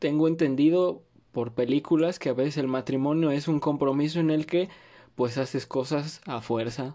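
In a northern Mexican accent, a man talks at a moderate pace with fairly even intonation and a fairly high pitch, over a quiet background. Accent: sounds like a northern Mexican rancher. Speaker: podcast host. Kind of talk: casual monologue. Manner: pausing often.

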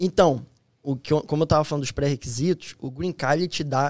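On a very clean recording with a silent background, a man talks at a fairly quick pace in an ordinary speaking voice with a fairly high pitch. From Rio de Janeiro state, Brazil (Nova Iguaçu, Petrópolis). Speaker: US Army soldier. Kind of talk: casual interview chat.

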